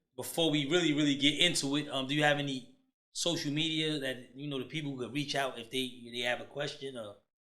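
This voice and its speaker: A man with a fairly high, bright, sharp voice speaks very fast with fairly even intonation, and audible room echo. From United States. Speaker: podcast host. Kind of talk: casual interview.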